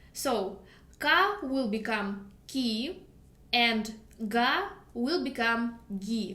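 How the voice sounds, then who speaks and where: In a Russian accent, a woman talks at a high pitch, with audible room echo around her. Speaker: language teacher. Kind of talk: tutorial.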